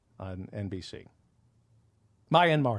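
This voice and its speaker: A man is talking. His pace is fairly slow. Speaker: comedian and podcast host. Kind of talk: casual banter, joking. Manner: interrupting, joking, teasing.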